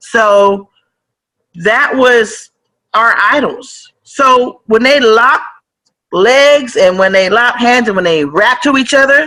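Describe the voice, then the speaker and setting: Loud and animated, a woman with an American accent and a fairly high pitch speaks at a fairly slow pace with lively intonation. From San Francisco Bay Area, California. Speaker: rapper. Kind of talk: casual interview.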